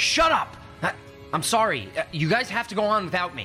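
Over faint music in the background, a man performs a put-on character voice, high-pitched with a bright, sharp tone, big pitch swings and a fairly quick pace.

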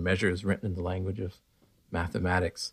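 A man speaks in a Pacific Northwest accent with a fairly low pitch. The recording is very clean, with a silent background. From US Pacific Northwest, eastern Washington. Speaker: philosopher and physicist. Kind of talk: casual interview chat. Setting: sitting in a room, in person.

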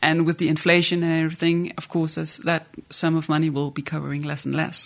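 With a Danish accent, a woman talks at a fairly quick pace in a very deep, low pitch, with fairly even intonation against a quiet background. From Jutland, Denmark. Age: 30s. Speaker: art institution director. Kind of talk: casual interview chat.

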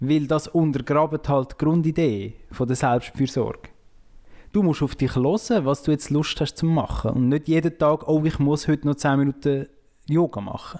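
With a Swiss accent, a man speaks at a moderate pace in a dark, mellow tone, his fairly high pitch showing ordinary variation. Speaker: podcast co-host and poetry slam moderator. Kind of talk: casual chat.

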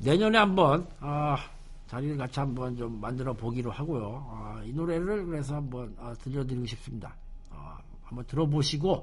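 A man with a somewhat breathy, medium-pitched voice speaks at a moderate pace with lively intonation and long, frequent pauses. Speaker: radio show host. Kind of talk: casual radio talk. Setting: studio. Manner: casual, conversational.

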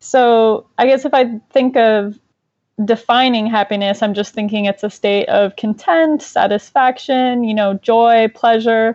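A woman with a plain, everyday voice speaks at a fairly slow pace. Her pitch is fairly high, with ordinary pitch variation. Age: 20s. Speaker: clinical psychologist and therapist. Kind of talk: casual interview.

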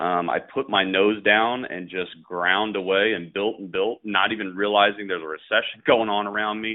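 This is a man with a normal speaking voice, pitched fairly low. He talks at a moderate pace with fairly even intonation and hardly any pauses. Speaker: business owner. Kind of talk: casual interview. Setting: phone call.

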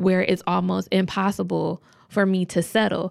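A woman in a normal speaking voice, medium pitch, fairly even intonation and moderate pace, on a very clean recording with a silent background. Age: 20s. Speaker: podcast host. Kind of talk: casual monologue.

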